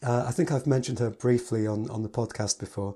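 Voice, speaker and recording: A man with an English accent speaks at medium pitch in a dark, mellow tone that is somewhat breathy. The recording is very clean and the background silent. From England. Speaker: piano teacher and podcast host. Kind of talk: solo podcast talk.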